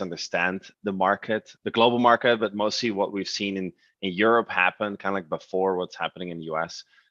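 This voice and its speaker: Speaking at a fairly quick pace, a man with a fairly low pitch sounds dry and close with no echo against a quiet background. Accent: Dutch. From Netherlands. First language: Dutch. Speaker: e-commerce platform representative. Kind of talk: webinar presentation. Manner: halting, many fillers.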